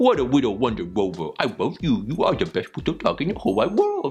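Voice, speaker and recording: A man puts on a character voice with a fairly high pitch. He goes at a very fast pace in a sing-song way. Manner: silly, sing-song, affectionate.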